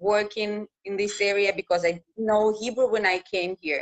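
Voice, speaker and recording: A woman with a Russian accent at a moderate pace, in a dry, close sound with no echo. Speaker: news reporter. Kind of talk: interview. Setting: live video call.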